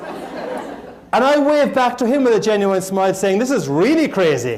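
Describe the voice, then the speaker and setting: A man with an Irish accent speaks with lively intonation. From Ireland, Cork. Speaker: motivational speaker. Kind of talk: motivational keynote speech. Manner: humorous.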